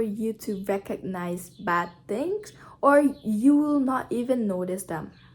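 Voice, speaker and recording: Fairly high pitch from a woman, varying in an ordinary way. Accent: non-native. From Brazil. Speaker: YouTuber. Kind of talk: casual vlog talk to camera.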